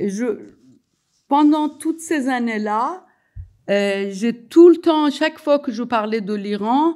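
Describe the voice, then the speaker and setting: Speaking in a Persian accent, a woman has a high pitch, a dark, mellow tone and lively intonation. Her pace is very slow, with long, frequent pauses. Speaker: sociologist and writer. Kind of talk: public talk. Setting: evening event with audience. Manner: halting, many hesitations.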